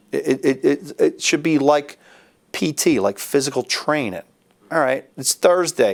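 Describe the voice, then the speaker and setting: A man with a fairly high voice and vocal fry speaks at a fairly slow pace with lively intonation. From Philadelphia. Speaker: judge and army veteran. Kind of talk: interview answer.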